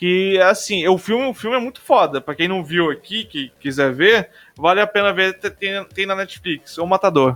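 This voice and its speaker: A man with a high pitch talks at a moderate pace with ordinary pitch variation and hardly any pauses. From Brazil, Rondônia. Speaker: podcast host. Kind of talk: casual chat.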